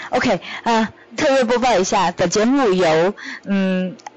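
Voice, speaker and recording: Noticeable background noise sits behind a woman at medium pitch. She speaks very slowly, with lively intonation. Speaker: podcast co-host, startup founder. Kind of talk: casual chat.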